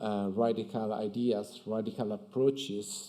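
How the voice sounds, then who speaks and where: Against a quiet background, a man with an Italian accent speaks at a medium pitch with a dark, mellow tone and fairly even intonation. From Italy. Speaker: architect. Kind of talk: conference talk. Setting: stage with audience at museum. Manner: hesitant, many fillers. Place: hall. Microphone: podium.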